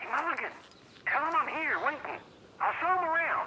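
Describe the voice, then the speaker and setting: A put-on character voice at an extremely high pitch, fairly quick in pace, over clear background noise. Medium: video game. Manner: loud, blunt.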